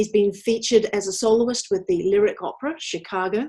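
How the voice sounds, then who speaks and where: With a normal speaking voice and ordinary pitch variation, a woman talks at a moderate speed. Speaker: interviewer and radio presenter. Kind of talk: interview introduction.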